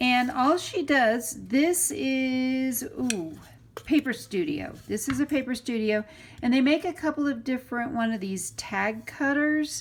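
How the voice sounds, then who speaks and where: Fairly slow delivery with ordinary pitch variation. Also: woman, high pitch for a woman. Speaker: crafter tutorial channel host. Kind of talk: tutorial. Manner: casual, conversational.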